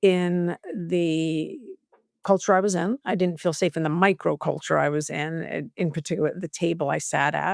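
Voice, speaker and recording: A woman with an American accent speaks at a medium pitch, recorded very cleanly against a silent background with dry, close sound and no echo. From US Southwest, New Mexico. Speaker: corporate culture executive. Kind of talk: podcast interview. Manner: animated.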